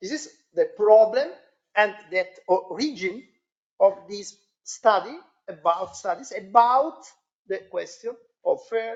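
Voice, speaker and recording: A woman speaks with an Italian accent at a fairly high pitch. Her intonation is lively. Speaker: academic panelist. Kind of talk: seminar discussion. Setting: seminar with audience. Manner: halting.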